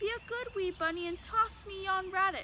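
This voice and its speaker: In a put-on character voice pitched extremely high, a woman speaks at a moderate pace over clear background noise. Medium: read story. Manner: hearty.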